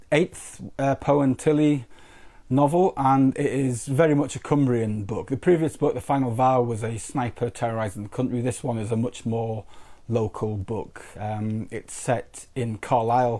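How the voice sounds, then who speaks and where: A man speaks at a fairly slow pace in a medium pitch. His tone is dark and mellow, with ordinary pitch variation. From northeast England. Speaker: crime fiction author. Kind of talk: interview. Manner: halting, many repetitions.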